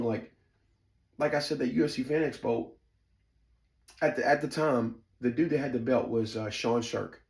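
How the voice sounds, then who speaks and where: A somewhat breathy man with a Southern US accent, animated in tone, at a moderate pace. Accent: Southern twang. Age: 40s. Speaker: storyteller, former fight camp insider. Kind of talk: personal storytelling monologue. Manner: casual, filler-heavy, lots of ums.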